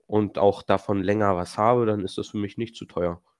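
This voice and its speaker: Recorded with a dry, close sound and no echo against a quiet background, the speaker talks at a moderate pace. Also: man. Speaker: railway trainee podcast co-host. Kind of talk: casual chat.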